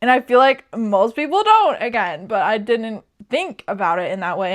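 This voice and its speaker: A woman with an American accent and a normal speaking voice, fairly high in pitch, at a moderate pace. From US Midwest, rural Nebraska. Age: 20s. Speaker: vlogger. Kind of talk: casual chat. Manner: casual, filler-heavy.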